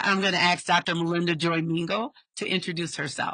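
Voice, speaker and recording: Loud, with a bright, sharp tone, a woman speaks at a moderate pace and fairly low pitch in a dry, close sound with no echo. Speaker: podcast host, social worker. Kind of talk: interview podcast conversation. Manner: naturally loud.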